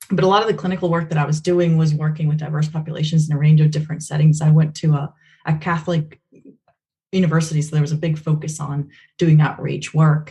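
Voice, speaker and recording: Delivered at a very fast pace, the voice is somewhat breathy, dark and mellow in tone, with monotone, flat intonation. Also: woman, very deep, low pitch for a woman. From Venezuela. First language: Spanish. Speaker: behavior analysis researcher. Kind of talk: podcast interview.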